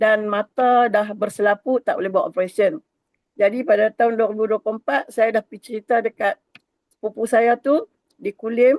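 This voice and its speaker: An ordinary speaking voice moves at a moderate pace with fairly even intonation. The sound is dry and close, with no echo. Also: woman. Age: 60s. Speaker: network marketing agent. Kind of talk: testimony. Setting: video call.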